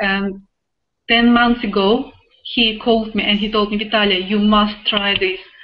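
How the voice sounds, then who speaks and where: Speaking at a moderate pace, a woman with a Russian accent uses a fairly high pitch. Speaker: online business affiliate, web designer. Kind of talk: testimony. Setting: video call. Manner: animated.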